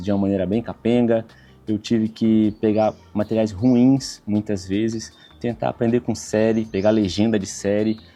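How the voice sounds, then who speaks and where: Fairly low male voice with music playing behind it. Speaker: travel vlogger. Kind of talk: tutorial. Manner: casual.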